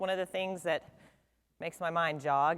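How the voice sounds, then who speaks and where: The recording of this female speaker is very clean, with a silent background. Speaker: insurance attorney. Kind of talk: seminar presentation. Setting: stage with audience. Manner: loud.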